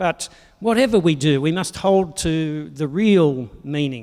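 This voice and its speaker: Here is a man with an Australian accent and a fairly high pitch. His intonation is lively. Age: 60s. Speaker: pastor. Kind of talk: sermon.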